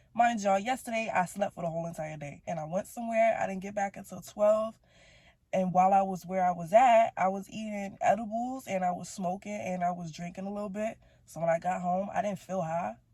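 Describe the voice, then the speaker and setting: In a very clean recording with a silent background, a woman speaks at a fairly quick pace and medium pitch, her tone dark, mellow and somewhat breathy, with ordinary pitch variation and big swings in loudness. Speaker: vlogger. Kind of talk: casual monologue vlog. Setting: in a car. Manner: casual, rambling.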